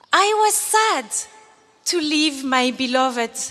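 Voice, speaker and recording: A woman's high-pitched voice rises and falls in very wide pitch swings. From Algeria. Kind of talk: commencement speech.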